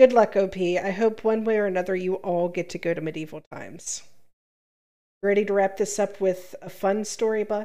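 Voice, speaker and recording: In a very clean recording with a silent background, a woman with an unremarkable speaking voice talks at a medium pitch and a moderate pace with fairly even intonation. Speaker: podcast co-host, reads Reddit posts. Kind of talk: casual chat with reading aloud.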